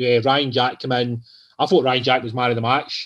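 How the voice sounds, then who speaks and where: A man with a medium pitch has a plain, everyday voice. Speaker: football podcast co-host covering Rangers youth. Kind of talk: casual football discussion.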